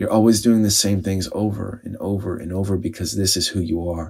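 Fairly low-pitched man at a moderate pace, monotone and flat, in a very clean recording with a silent background. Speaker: spiritual speaker and storyteller. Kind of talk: dramatic narration of a story, then a brief personal reflection.

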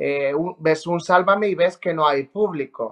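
A high-pitched man talks fairly slowly, his pitch varying in an ordinary way. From Spain, La Rioja. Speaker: TV reporter and presenter. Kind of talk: casual interview chat.

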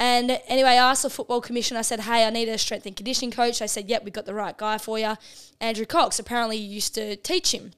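A woman speaks with an Australian accent. Her pitch is fairly high and her pace very fast. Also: fairly even intonation. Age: 20s. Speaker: professional women's footballer. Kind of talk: casual chat. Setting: home lounge room.

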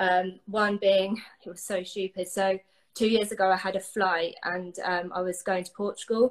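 A woman with an English accent speaks at a fairly slow pace. Her medium-pitched voice stays flat and monotone. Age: 20s. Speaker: guest sharing recovery story. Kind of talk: interview.

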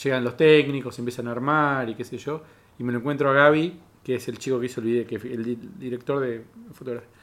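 A man with a normal speaking voice and ordinary pitch variation is heard in a very clean recording with a silent background. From Cipolletti, Río Negro, Argentina. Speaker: stand-up comedian. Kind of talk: casual chat.

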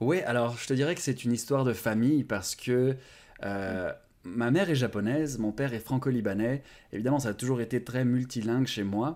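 In a very clean recording with a silent background, a man with an unremarkable speaking voice talks fairly quickly at a medium pitch with ordinary pitch variation. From France. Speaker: language-learning YouTuber. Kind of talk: interview.

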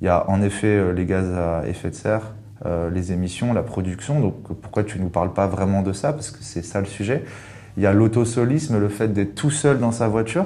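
A man's dark, mellow tone at a fairly low pitch. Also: ordinary pitch variation, moderate pace. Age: 30s. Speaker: communications agency account director. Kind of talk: interview.

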